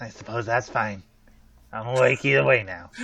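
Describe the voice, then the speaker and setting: A man does a raspy, put-on character voice at medium pitch. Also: moderate pace. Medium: actual play. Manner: literal, cautious.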